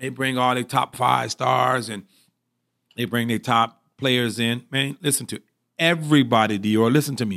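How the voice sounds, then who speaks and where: A man with a medium pitch and a bright, sharp tone shows vocal fry and ordinary pitch variation at a moderate pace. The recording is very clean with a silent background and a dry, close sound with no echo. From Michigan, Pontiac. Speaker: football coach and mentor. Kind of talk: casual interview.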